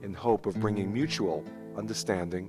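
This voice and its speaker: There is music in the background as a man talks at a moderate pace. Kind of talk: documentary narration intro.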